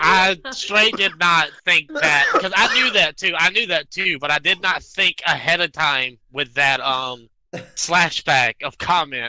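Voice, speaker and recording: A man with a strong Southern US accent speaks fairly slowly at a high pitch with lively intonation. There is no echo, and the sound is dry and close. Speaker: podcast co-host. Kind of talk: casual chat.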